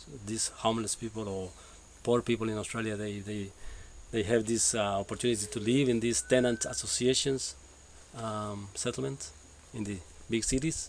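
A man with a Spanish accent talks at a moderate pace with ordinary pitch variation, big swings in loudness and long, frequent pauses, in a dry recording with no echo and light background noise. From El Salvador, Sonsonate; El Salvador. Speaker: permaculture NGO co-founder. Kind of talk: personal testimony. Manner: halting, many fillers. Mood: calm, reflective storytelling. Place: garden. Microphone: camera far.

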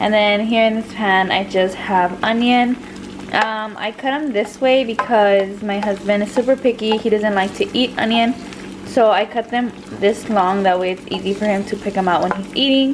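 Speech comes at a moderate pace with fairly even intonation, over noticeable background noise. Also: woman. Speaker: home cook vlogger. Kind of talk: casual cooking tutorial vlog. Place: kitchen. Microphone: phone near.

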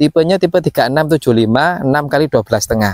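In a dry recording with no echo and a quiet background, a man with a fairly high pitch talks in an animated tone with lively intonation. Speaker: property salesman. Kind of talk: sales pitch. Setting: outdoors at housing site. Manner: fast, upbeat, repetitive pitchman patter; animated, promotional, hammering price and installment figures. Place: open country.

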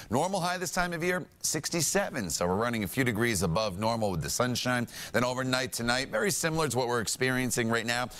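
With lively intonation, a man talks very fast. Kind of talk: weather forecast presentation. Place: studio. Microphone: lapel.

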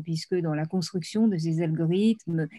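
Against a quiet background, a woman talks with a fairly low pitch and ordinary pitch variation. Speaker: panelist. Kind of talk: panel talk on ethics. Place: home room. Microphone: video call.

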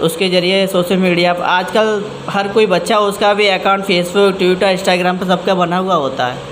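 A man speaks with a high pitch and fairly even intonation. Light noise sits in the background. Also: moderate pace. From Firozabad district, Uttar Pradesh, India; Uttar Pradesh, India. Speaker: local party official. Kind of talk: interview; interview answer. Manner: halting. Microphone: handheld.

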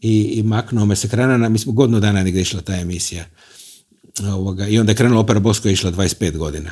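Against a quiet background, a man with a dark, mellow tone and fairly low pitch talks at a very fast pace with ordinary pitch variation. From Croatia, Rijeka; Croatia. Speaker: TV host and concert hall director; TV host. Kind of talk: casual interview. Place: studio. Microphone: lapel.

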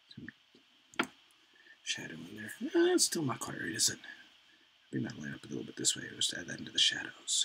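A man speaks with big swings in loudness and long, frequent pauses. Light background noise sits behind him. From Canada. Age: 40s. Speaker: artist streamer. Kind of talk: casual chat. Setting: live stream. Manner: rambling, fast.

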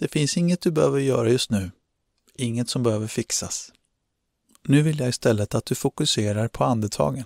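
On a very clean recording with a silent background and a dry, close sound with no echo, a man with an ordinary speaking voice talks at a medium pitch with ordinary pitch variation. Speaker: meditation guide. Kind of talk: guided meditation, calm instructions addressed to the listener. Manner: slow, soothing, with long pauses between instructions; gentle, calm and encouraging.

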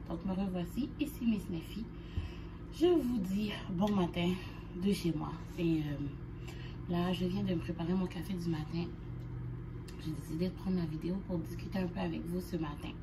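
Noticeable background noise runs beneath a woman who talks fairly slowly with long, frequent pauses. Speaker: vlogger. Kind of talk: casual vlog chat. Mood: anxious, sad, subdued. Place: home room. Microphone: phone near.

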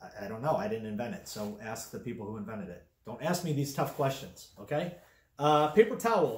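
A fairly high-pitched, somewhat breathy man at a fairly quick pace, with very wide pitch swings, big swings in loudness and audible room echo. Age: 30s. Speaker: comedic product reviewer. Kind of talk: comedic product review vlog. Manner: halting, filler-heavy. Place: home room.

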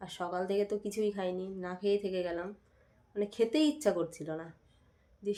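The tone of this woman's voice is dark and mellow. She talks at a medium pitch. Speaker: vlogger, homemaker. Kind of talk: casual vlog narration.

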